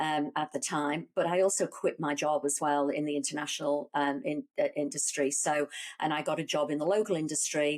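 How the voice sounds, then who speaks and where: Very clean with a silent background, this recording features a woman with a very deep, low pitch. She talks at a fairly quick pace with fairly even intonation. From Liverpool, England. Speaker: business executive. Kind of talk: interview. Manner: hesitant, many fillers and restarts.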